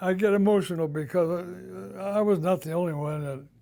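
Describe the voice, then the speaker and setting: At a moderate pace, a man speaks in a dark, mellow tone with ordinary pitch variation, and the room echo is audible. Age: 90s. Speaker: WWII merchant marine veteran. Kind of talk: oral history interview.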